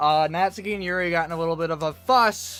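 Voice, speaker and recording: The speaking pace is moderate. Behind the voice, music can be heard. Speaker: gaming video creator. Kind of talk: casual talk to camera, let's play intro.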